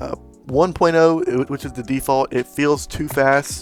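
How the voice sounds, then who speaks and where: With music in the background, a man speaks fairly slowly and with fairly even intonation. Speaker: gaming YouTuber. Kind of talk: casual gaming tutorial talk. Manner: casual, hesitant with fillers.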